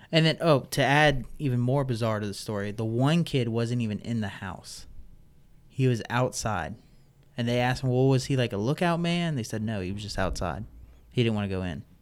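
A man's normal speaking voice at a medium pitch, fairly quick in pace, with lively intonation. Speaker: park ranger. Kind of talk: casual chat.

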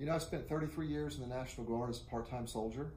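Somewhat breathy and dark, mellow in tone, a man speaks with an American accent in a room with audible echo. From Oklahoma, US (Enid). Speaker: city manager. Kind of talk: interview. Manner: halting, repeats words.

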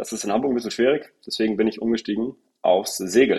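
A man's medium-pitched voice carries ordinary pitch variation. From northern Germany, Husum. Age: 20s. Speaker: sales director. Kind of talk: interview. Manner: hesitant with fillers.

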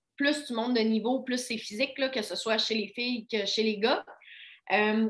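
This woman has an ordinary speaking voice with a fairly high pitch. Her pitch varies in an ordinary way. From Quebec, Côte-Nord (Baie-Comeau). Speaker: physiotherapist. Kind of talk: casual interview.

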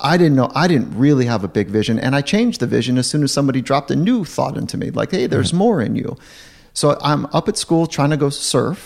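A man with an American accent, vocal fry, lively intonation and a very fast pace. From Southern California. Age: 40s. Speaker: sports psychologist. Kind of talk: interview conversation.

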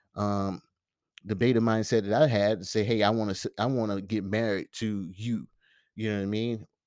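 A man's fairly low-pitched voice with fairly even intonation, in a very clean recording against a silent background. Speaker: podcast host. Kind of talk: casual solo monologue. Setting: solo at microphone. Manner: fast talker; filler-heavy, casual.

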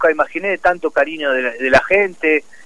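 A man with a fairly high pitch speaks using lively intonation. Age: 30s. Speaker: professional football goalkeeper. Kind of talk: radio interview. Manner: hesitant, many repetitions.

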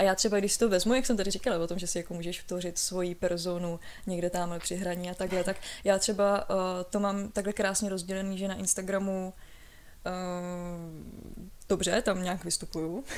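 Keeping a moderate pace, a woman talks at a medium pitch in a monotone, flat intonation. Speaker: podcast co-host. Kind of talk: casual chat. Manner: stutter.

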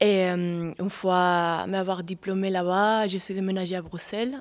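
Speaking at a fairly slow pace with a Spanish accent, a woman holds a medium pitch and fairly even intonation on a very clean recording with a silent background. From southern Spain. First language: Spanish (speaking French). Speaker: dancer and choreographer. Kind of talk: interview.

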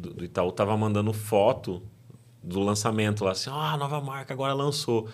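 Speaking at a fairly quick pace, a man uses a fairly low pitch with ordinary pitch variation. He has an ordinary speaking voice. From São Paulo state interior, Brazil. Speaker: podcast host. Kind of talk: casual interview. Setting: studio.

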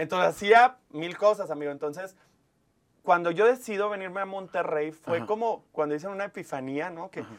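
Talking at a fairly quick pace, a man uses a high pitch with ordinary pitch variation. His loudness swings widely. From Mexico, Monclova, Coahuila. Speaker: TV presenter and life coach. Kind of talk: casual interview chat.

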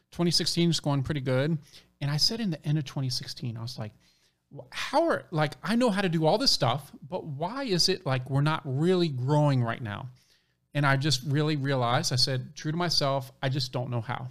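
On a very clean recording with a silent background, a man with a fairly high pitch talks at a moderate pace, somewhat breathy, with ordinary pitch variation. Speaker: podcast co-host. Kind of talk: casual interview chat.

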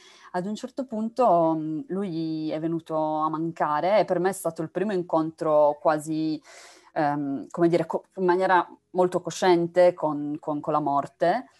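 A woman talks at a fairly slow pace in a fairly low pitch with fairly even intonation. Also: quiet background. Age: young. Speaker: novelist. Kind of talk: interview. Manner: halting.

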